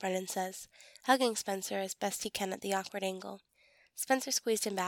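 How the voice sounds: The background is quiet. It is a natural reading voice with ordinary pitch variation.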